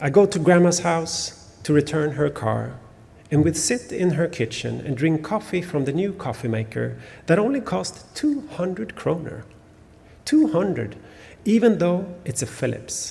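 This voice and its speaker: A man with a Swedish accent speaks at a moderate pace, his high voice carrying a dark, mellow tone and lively intonation. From Sweden. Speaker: novelist. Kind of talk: author talk with reading aloud. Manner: halting, many fillers.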